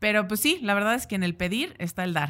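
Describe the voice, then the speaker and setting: A woman speaks with a Mexican accent and ordinary pitch variation. The recording is very clean, with a silent background. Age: 30s. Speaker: podcast host. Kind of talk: casual chat. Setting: live event forum.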